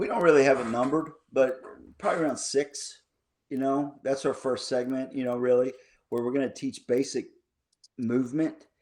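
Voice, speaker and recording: A man with a medium-pitched voice speaks with fairly even intonation and long, frequent pauses, on a very clean recording with a silent background. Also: moderate pace. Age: 50s. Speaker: basketball coach. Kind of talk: podcast interview.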